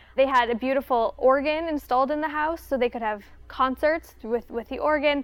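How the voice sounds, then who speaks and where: Her voice is high-pitched, and the woman talks at a fairly quick pace. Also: fairly even intonation. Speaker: museum educator. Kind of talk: interview.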